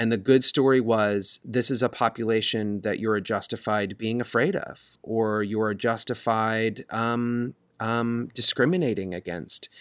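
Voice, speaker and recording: On a very clean recording with a silent background and a dry, close sound with no echo, a man with an unremarkable speaking voice speaks at medium pitch, fairly slowly, with fairly even intonation. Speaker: podcast host, theater company member. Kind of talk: casual podcast conversation.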